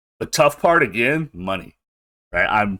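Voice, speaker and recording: Recorded very cleanly against a silent background, a man speaks with very wide swings in pitch. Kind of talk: casual monologue podcast. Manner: casual, many filler words.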